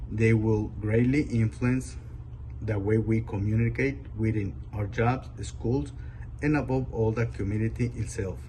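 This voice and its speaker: A man's fairly low, vocal-fry voice with a Spanish accent, very wide pitch swings and a fairly slow pace, in audible room echo. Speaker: adult English learner. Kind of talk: prepared speech read aloud.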